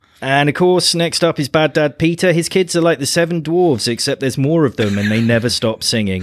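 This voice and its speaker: A man in a British accent speaks at a fairly high pitch and a fairly quick pace, with lively intonation and hardly any pauses. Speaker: podcast host. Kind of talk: casual chat.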